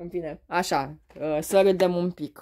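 A woman's dark, mellow tone at a very slow pace, over a quiet background. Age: 30s. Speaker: beauty and perfume vlogger; beauty vlogger. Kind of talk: casual unboxing vlog. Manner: hesitant, many fillers. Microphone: phone near.

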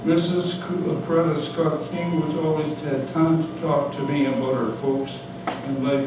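Noticeable background noise and audible room echo around a man's fairly slow pace. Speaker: retired doctor. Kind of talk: memoir reading to live audience. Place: cafe. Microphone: camera far.

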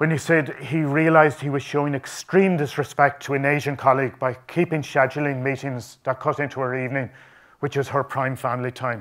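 A man speaks at a fairly quick pace with fairly even intonation. The background is quiet. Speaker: conference presenter. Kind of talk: conference talk. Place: hall.

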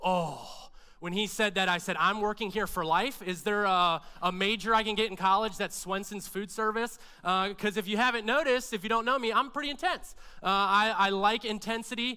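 In a raised, projected voice, a man speaks with a bright, sharp tone and ordinary pitch variation. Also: fairly quick pace, quiet background. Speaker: pastor preaching. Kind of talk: sermon. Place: church. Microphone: headset.

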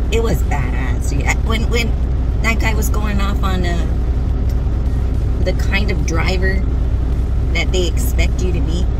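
The speech moves at a very slow pace in a dry sound with no echo, with music in the background. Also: woman. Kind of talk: casual vlog chat. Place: car. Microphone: phone near.

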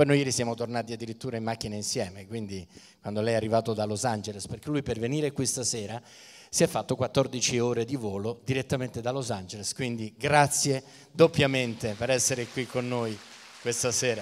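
Fairly quick and with fairly even intonation, a man delivers his lines. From Italy. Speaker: event presenter; event host, interviewer. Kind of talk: stage interview. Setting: stage with audience. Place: stage. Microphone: handheld.

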